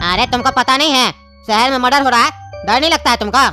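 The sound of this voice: In a cartoonish character voice, a man shouts at a very fast pace with an extremely high pitch over clear background music.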